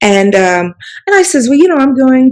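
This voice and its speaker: Using a plain, everyday voice, a woman talks at a moderate pace with lively intonation. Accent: American. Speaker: author and storyteller. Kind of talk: interview answer.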